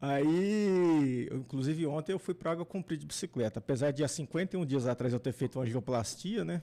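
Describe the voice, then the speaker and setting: A man talks at a fairly quick pace with hardly any pauses and lively intonation. His voice is fairly high in pitch, with a dark, mellow tone. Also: very even loudness. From São Paulo city, Brazil. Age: 50s. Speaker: engineer and former vice mayor. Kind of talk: podcast interview. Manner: casual, conversational.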